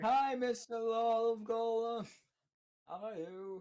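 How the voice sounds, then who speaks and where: Shouting in a put-on character voice, the speaker holds a fairly high pitch at a fairly slow pace. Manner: yelling.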